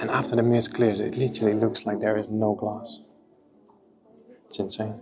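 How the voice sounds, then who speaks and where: Music plays in the background as a man speaks in a fairly low pitch. His intonation is fairly even, his pace moderate, and his pauses long and frequent. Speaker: aquascaping vlogger. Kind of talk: vlog walkthrough tour. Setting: indoor public aquarium. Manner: whispering.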